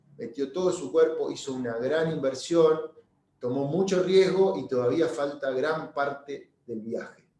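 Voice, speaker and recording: The speech moves at a fairly slow pace with ordinary pitch variation, and audible room echo surrounds it. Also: man, fairly high pitch for a man. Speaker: real estate broker, webinar speaker. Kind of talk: webinar presentation. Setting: online webinar. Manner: halting, many repetitions and fillers.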